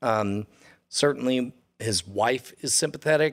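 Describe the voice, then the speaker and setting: Here is an ordinary speaking voice at a fairly slow pace. Its pitch moves in an ordinary way. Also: man. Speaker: podcast host. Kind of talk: casual banter.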